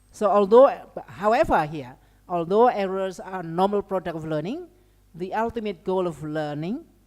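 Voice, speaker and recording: A woman's fairly low, dark and mellow voice at a moderate pace, with lively intonation and a slight Indonesian accent. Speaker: lecturer. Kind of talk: lecture. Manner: halting, many fillers.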